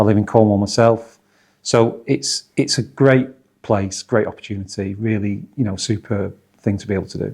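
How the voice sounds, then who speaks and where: A man with a Manchester accent and a fairly low voice talks at a moderate pace with fairly even intonation. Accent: Northwest Manchester. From northwest England, Oldham/Manchester. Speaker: football club chief executive. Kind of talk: interview.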